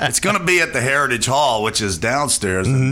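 A man's pitch swings very widely as he talks, with noticeable noise in the background. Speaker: soul singer and bandleader, radio studio guest. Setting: radio studio interview. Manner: laughs often, relaxed and enthusiastic.

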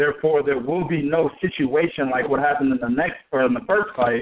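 With a normal speaking voice and lively intonation, a man talks fairly quickly at a fairly high pitch. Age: 30s. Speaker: boxing podcast co-host. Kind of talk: casual chat.

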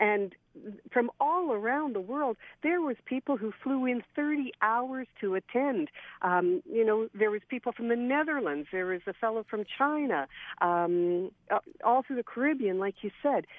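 Delivered at a fairly slow pace, it is a plain, everyday voice. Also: woman, fairly high pitch for a woman, lively intonation. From Saskatchewan, Canada. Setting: phone call.

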